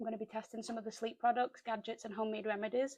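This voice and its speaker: A woman speaks with a British accent in a fairly high voice. Her intonation stays fairly even. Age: 30s. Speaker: sleep health vlogger. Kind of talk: casual talk to camera.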